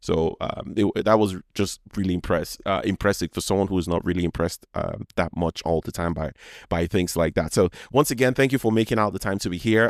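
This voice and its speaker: A man with a Nigerian accent and fairly low pitch, fairly quick pace, dry, close sound with no echo, very clean recording and silent background. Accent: Nigerian accent, noticeable. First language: Yoruba. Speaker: podcast host. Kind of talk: casual monologue. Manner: halting, many false starts.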